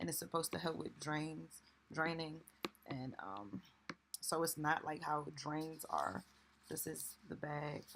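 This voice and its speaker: A quiet woman's very deep, low voice with vocal fry, ordinary pitch variation, a fairly slow pace, and long, frequent pauses. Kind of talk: casual vlog talk to camera. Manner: speaking low, quiet.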